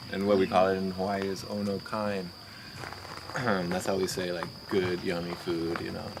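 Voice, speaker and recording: Soft-spoken and monotone, a man with a very deep, low pitch talks at a moderate pace with long, frequent pauses, amid noticeable background noise and audible room echo. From moved around US: Maryland, Oklahoma, Colorado, California. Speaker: raw vegan coconut worker at sanctuary. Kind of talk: casual interview. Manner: halting, many fillers.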